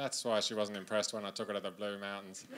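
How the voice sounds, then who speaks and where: A very fast talker with an Australian accent over noticeable background noise. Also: man. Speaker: stand-up comedian. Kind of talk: stand-up comedy set. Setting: live comedy stage. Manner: casual, conversational. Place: stage. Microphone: handheld.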